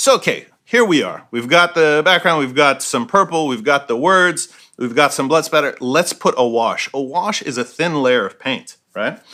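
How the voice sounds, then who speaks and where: Bright and sharp in tone, a man talks with lively intonation at a fairly high pitch. He leaves hardly any pauses. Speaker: painter. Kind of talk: tutorial. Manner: fast; casual.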